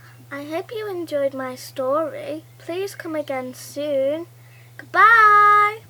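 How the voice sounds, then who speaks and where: A put-on character voice, female-sounding, extremely high-pitched and very slow. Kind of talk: children's story voice. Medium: read story.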